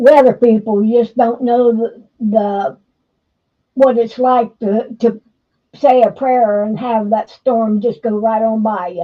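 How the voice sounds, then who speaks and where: Speaking very slowly with an American accent, a woman keeps a fairly even intonation at a fairly high pitch. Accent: sounds Southern to others. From Ohio. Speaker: live stream co-host. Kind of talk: casual chat.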